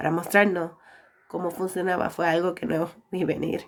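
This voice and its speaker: The woman's pitch is medium. She speaks at a moderate pace. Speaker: digital artist. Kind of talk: casual movie review narration.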